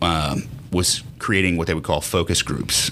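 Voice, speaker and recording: Very deep and low, a man's voice carries a bright, sharp tone and ordinary pitch variation. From Lafayette, Louisiana. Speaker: business owner. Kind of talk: casual interview.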